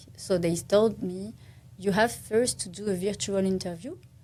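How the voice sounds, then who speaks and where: At a moderate pace, a woman with a French accent speaks at a medium pitch with ordinary pitch variation. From France. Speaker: architect and pageant titleholder. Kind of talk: podcast interview. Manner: halting.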